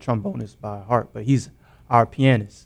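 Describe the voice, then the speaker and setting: A man speaks at a medium pitch with ordinary pitch variation. It is an unremarkable speaking voice. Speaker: band member and producer/rapper. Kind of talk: casual interview chat. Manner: relaxed, slangy.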